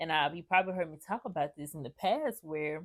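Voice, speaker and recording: A woman's fairly low-pitched, ordinary speaking voice with ordinary pitch variation, on a very clean recording with a silent background. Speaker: mindset life coach. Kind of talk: motivational talk to camera. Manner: casual, conversational.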